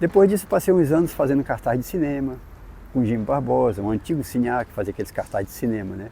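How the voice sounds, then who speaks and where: A man's very fast speech at medium pitch, dark and mellow in tone, with very wide pitch swings. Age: 70s. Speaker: painter, self-taught artist. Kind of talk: interview testimony. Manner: halting, with repetitions.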